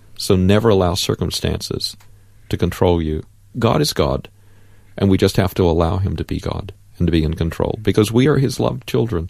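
A man with an American accent talks at a fairly quick pace, his very deep, low pitch carrying lively intonation. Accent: American, noticeable. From Central Florida, US. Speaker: farmer, accident survivor. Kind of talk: testimony. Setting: studio.

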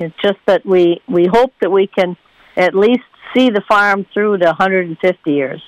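A woman with an American accent and a medium pitch speaks at a very slow pace with ordinary pitch variation, in a dry, close sound with no echo. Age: 80s+. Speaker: farmer. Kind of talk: interview.

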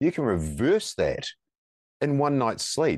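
Against a quiet background, a man with a New Zealand accent is heard in a dry, close sound with no echo. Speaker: firefighter and coach, former police officer. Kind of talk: interview conversation. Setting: remote call. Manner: halting, many fillers.

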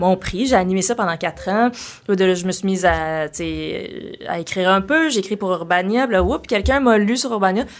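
A woman speaks with a Quebec accent at medium pitch, with ordinary pitch variation. Noticeable background noise can be heard. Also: moderate pace. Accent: Québécois French. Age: 40s. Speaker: comedian. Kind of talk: casual chat. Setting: studio.

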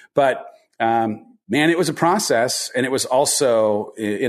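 Against a quiet background, a man with a Californian accent speaks at a moderate pace and medium pitch, with ordinary pitch variation. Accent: Californian American English. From Southern California. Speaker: author, former entertainment executive. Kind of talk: interview.

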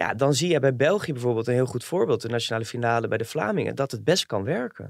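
Very fast speech comes from a man. His intonation is lively. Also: medium pitch for a man. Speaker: entertainment reporter. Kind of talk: casual chat.

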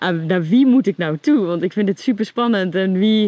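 In a plain, everyday voice, a woman speaks at medium pitch and a moderate pace with ordinary pitch variation, the sound dry and close with no echo. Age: 30s. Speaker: reality show contestant, writer. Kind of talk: casual interview.

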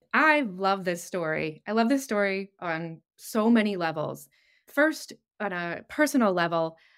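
An unremarkable speaking voice at a moderate pace, in a very clean recording with a silent background. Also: woman. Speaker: product marketing director. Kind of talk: podcast interview. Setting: virtual studio.

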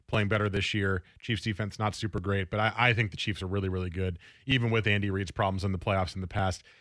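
On a very clean recording with a silent background, a man talks in an ordinary speaking voice, fairly low in pitch, with fairly even intonation and a fairly quick pace. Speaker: sports radio host. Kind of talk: casual chat. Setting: studio.

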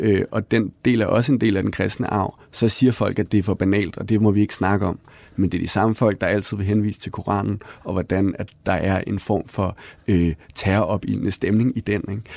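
Speaking at a moderate pace, a man with a fairly low pitch and fairly even intonation has a plain, everyday voice. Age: 30s. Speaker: author. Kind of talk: interview conversation.

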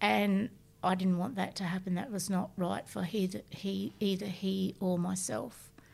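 Here a woman talks at a fairly slow pace. She has an Australian accent. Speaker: bereaved mother sharing lived experience. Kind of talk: testimony.

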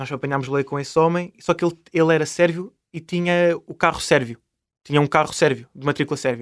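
In a normal speaking voice, a man speaks at a fairly quick pace with fairly high pitch and fairly even intonation, on a very clean recording with a silent background. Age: 20s. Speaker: traveller and travel YouTuber. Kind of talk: casual interview.

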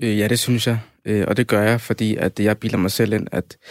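Monotone, flat delivery from a man at a fairly low pitch and moderate pace, on a very clean recording with a silent background and a dry, close sound with no echo. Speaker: guest debater, student. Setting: studio.

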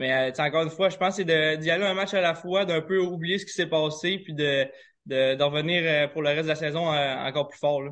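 A man with an unremarkable speaking voice talks at a fairly quick pace and fairly high pitch, keeping fairly even intonation despite big swings in loudness. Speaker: professional hockey player. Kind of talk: interview.

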